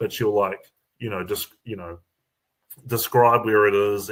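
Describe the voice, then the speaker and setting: A man with a New Zealand accent and medium pitch at a moderate pace, on a very clean recording with a silent background. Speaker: comedian. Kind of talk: casual chat. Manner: halting, many fillers.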